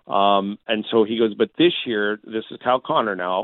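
With a Canadian accent, an unremarkable speaking voice moves at a moderate pace with fairly even intonation. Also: man. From Southern Alberta, Canada. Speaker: hockey broadcaster. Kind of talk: sports radio interview.

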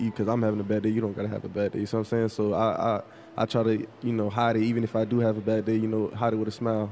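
Speaking very fast in a flat monotone, a man with an American accent keeps a fairly low pitch and very even loudness. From South Florida, Fort Lauderdale. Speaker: pro football player. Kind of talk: casual interview. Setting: live event with audience.

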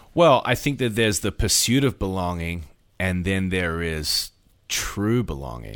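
A man with a very deep, low pitch speaks at a fairly slow pace, his pitch swinging very widely. The recording is very clean with a silent background. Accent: Australian. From Australia. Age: 40s. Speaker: pastor. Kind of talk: casual interview.

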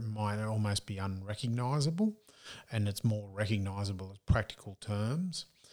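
A man's fairly low-pitched voice at a fairly slow pace, on a very clean recording with a silent background. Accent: strong Australian. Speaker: business strategist and speaker. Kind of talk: casual interview conversation.

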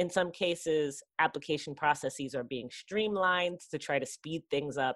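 On a very clean recording with a silent background, a woman with an American accent speaks in a very deep, low pitch at a moderate pace, with hardly any pauses and ordinary pitch variation. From New York City (Queens). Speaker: political science professor. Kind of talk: podcast interview.

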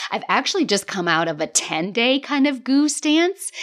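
A woman's high-pitched, animated voice at a fairly slow pace, with very wide pitch swings. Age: 40s. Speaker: life coach and podcast host. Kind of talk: solo podcast monologue.

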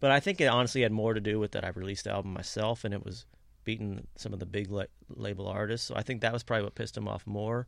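Talking at a very fast pace with a Kentucky accent, this man has a fairly low pitch, ordinary pitch variation and vocal fry. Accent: Kentucky Southern US. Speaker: country musician. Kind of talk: casual interview. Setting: studio.

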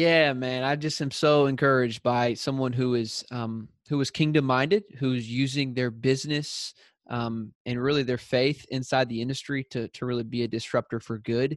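A man with a Southern US accent speaks at a moderate pace and medium pitch, with fairly even intonation and hardly any pauses. The sound is dry and close with no echo, over a quiet background. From US South. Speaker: podcast host. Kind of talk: casual interview; prayer. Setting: call.

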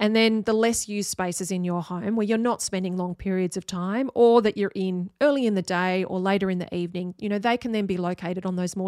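A woman's medium-pitched voice in an Australian accent, fairly quick in pace with fairly even intonation, on a very clean recording with a silent background and a dry, close sound with no echo. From Australia, Sydney. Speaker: architect, podcast host. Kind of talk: solo podcast monologue.

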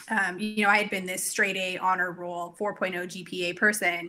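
A woman with a medium pitch and a bright, sharp tone speaks at a very slow pace in a monotone, flat intonation. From Canada, Cranbrook, British Columbia. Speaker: brain health clinician, business owner. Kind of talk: casual interview chat.

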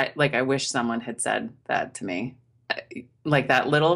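With an American accent, a woman speaks at a moderate pace and with lively intonation. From US, Maine. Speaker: knitwear designer. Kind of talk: interview.

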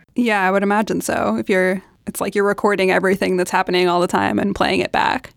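A woman with an American accent, medium in pitch, with vocal fry, a very fast pace and very even loudness. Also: ordinary pitch variation. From New York City. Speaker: podcast curator and club chapter leader. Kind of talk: casual chat.

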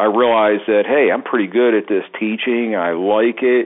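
In a Baltimore accent, a man speaks with a fairly low pitch and fairly even intonation. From Baltimore, Maryland. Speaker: drum teacher. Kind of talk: casual chat.

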